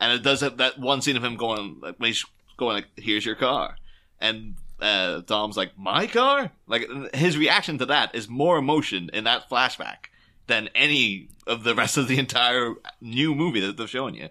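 In a Northern Irish accent, a man with a bright, sharp tone speaks at a moderate pace and medium pitch with ordinary pitch variation, captured in a very clean recording against a silent background. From Northern Ireland, near Derry. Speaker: podcast guest. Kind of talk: casual chat.

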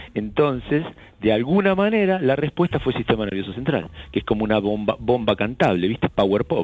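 A man speaks in a Rioplatense accent at medium pitch. His pace is fairly quick, and his pitch swings very wide. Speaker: rock band frontman. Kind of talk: interview. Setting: remote call. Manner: halting.

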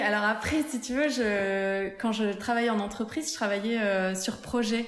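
A woman's fairly high voice at a fairly slow pace, very even in loudness, with audible room echo and noticeable background noise. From southern France, near Montpellier. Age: 30s. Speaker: entrepreneur, shoe brand founder. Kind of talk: interview testimony.

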